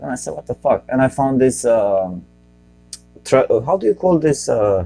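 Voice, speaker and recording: A man with a Romanian accent talks at a moderate pace over music playing in the background. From Romania, Bucharest. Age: 40s. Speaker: podcast host and comedian. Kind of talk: casual comedic podcast monologue. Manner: halting, self-correcting.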